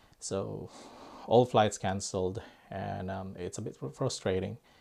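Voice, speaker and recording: A man with a Filipino accent speaks at a moderate pace with a fairly low pitch and a dark, mellow tone. The recording is very clean with a silent background. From Philippines. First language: Filipino language. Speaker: airgun YouTuber. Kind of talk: casual vlog talk. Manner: hesitant, many fillers.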